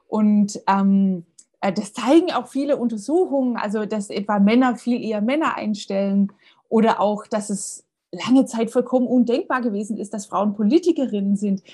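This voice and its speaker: Her voice fairly high and somewhat breathy, a woman speaks in a dark, mellow tone at a moderate pace with ordinary pitch variation. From Baden-Württemberg, near Tübingen. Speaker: history professor. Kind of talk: interview. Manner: hesitant with frequent fillers.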